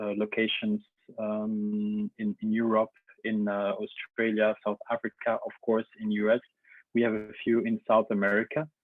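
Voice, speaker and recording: A man with a Belgian French accent, fairly low in pitch, with monotone, flat intonation. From Belgium. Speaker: engineer, company representative. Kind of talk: webinar presentation. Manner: hesitant, many fillers.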